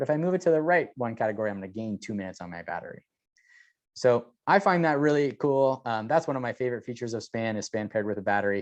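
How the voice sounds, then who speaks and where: Against a quiet background, a man with a medium pitch talks very fast, his intonation lively and his loudness swinging widely. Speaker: product specialist. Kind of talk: product demo.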